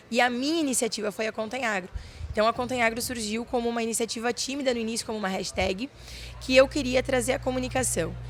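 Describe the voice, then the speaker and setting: Speaking very fast in a southern Brazilian accent, a woman uses fairly high pitch, vocal fry and fairly even intonation. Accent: gaúcho Brazilian Portuguese. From Rio Grande do Sul countryside, Brazil. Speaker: farmer and young agribusiness leader. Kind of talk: interview. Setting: fair stand.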